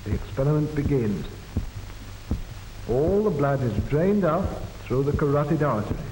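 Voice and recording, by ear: This man talks at a moderate pace in a fairly high voice, his pitch swinging widely, with audible echo in the room.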